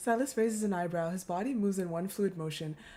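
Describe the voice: It is plain reading aloud. The pitch variation is ordinary.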